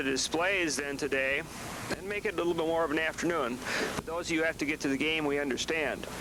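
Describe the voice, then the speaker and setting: A man with a fairly high pitch speaks at a fairly quick pace amid noticeable background noise. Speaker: teacher; ceremony emcee. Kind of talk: public address at ceremony.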